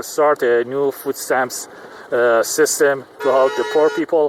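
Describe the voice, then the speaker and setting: Over noticeable background noise, a man speaks at a fairly slow pace in a dry, close sound with no echo. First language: not English. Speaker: vlogger. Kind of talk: casual vlog monologue. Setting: in a car in traffic. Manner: halting, many fillers.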